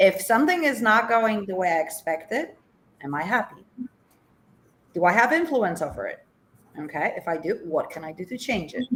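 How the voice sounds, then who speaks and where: Using a Polish accent, a woman with a fairly high pitch talks at a moderate pace, with long, frequent pauses, big swings in loudness and very wide pitch swings. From Poland. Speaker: life coach. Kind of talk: interview. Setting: TV show.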